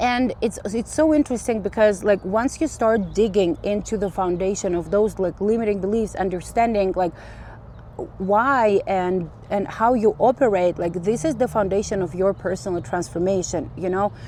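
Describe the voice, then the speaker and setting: A woman's medium-pitched voice with a non-native accent, a dark, mellow tone and vocal fry. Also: ordinary pitch variation, moderate pace. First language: not English. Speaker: spiritual vlogger. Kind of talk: casual monologue vlog. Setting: outdoors on a walk. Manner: halting, many fillers and restarts.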